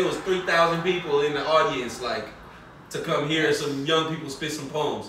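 A man talks at a moderate pace with ordinary pitch variation. Audible room echo and noticeable background noise are present. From Oakland, California. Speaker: rapper. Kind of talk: casual chat.

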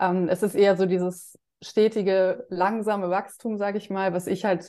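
Against a quiet background, a woman with a dark, mellow tone and medium pitch speaks at a moderate pace in a flat monotone. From Germany. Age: 30s. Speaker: finance influencer and dividend investor. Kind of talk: interview.

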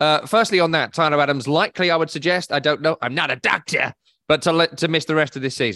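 With a British accent, a man talks at a very fast pace in a bright, sharp tone, his fairly high pitch showing ordinary variation in a dry, close sound with no echo. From Scotland. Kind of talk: casual chat. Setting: video call.

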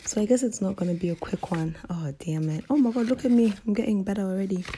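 Pitch variation is ordinary, and noticeable background noise can be heard. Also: woman. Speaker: podcast host. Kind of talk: casual solo monologue. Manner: hesitant, many ums.

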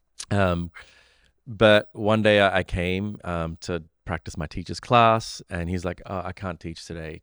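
A man with an Australian accent and a very deep, low pitch, at a moderate pace with ordinary pitch variation, in a very clean recording with a silent background and a dry, close sound with no echo. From Sri Lanka and Australia. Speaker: meditation teacher and mindfulness studio co-founder. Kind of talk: casual interview chat. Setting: studio.

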